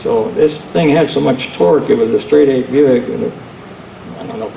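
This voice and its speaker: Over noticeable background noise, a man with an American accent talks at a moderate pace in a medium pitch. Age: 70s. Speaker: retired drag racer and engine dyno operator. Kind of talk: panel talk, personal storytelling. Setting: museum panel with audience.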